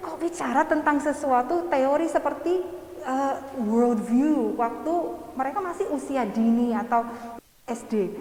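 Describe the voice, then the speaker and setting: A woman with an English accent, high-pitched, lively in intonation and fairly slow, amid noticeable background noise and audible room echo. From England. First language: English (speaking Indonesian). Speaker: education lecturer. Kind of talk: seminar talk. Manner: halting.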